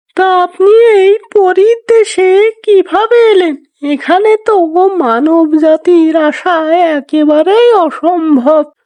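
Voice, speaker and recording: At a very slow pace, a female-sounding voice performs a cartoonish character voice at an extremely high pitch. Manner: commanding.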